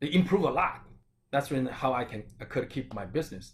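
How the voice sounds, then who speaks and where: A somewhat breathy man at a medium pitch, moderate pace, and lively intonation. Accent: Chinese. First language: Chinese. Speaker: acupuncturist and Chinese medicine doctor. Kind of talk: health talk.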